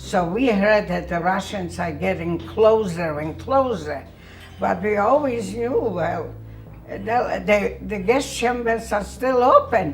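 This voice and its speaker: Music plays in the background as the speaker moves at a very slow pace. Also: woman. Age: 80s+. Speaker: Holocaust survivor. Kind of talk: interview answer.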